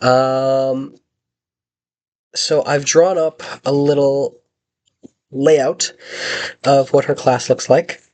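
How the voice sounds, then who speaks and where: With long, frequent pauses, a man speaks at a very slow pace in a fairly high pitch and a monotone, flat intonation. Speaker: student teacher. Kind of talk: video reflection. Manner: hesitant, many fillers.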